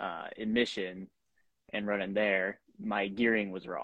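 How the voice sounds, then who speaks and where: This man has an unremarkable speaking voice with an American accent. He talks at a fairly slow pace with a fairly low pitch. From Washington State, US. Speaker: drift racing driver. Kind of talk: casual interview. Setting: video call from his shop.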